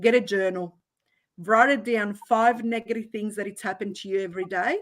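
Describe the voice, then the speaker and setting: With a non-native accent, a woman at medium pitch speaks at a fairly quick pace, her intonation fairly even but her loudness swinging widely. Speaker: business consultant and entrepreneur. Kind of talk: interview at online conference.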